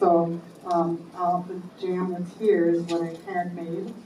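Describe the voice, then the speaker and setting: A woman's fairly low voice is heard with audible room echo and noticeable background noise. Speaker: society volunteer. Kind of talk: meeting announcement.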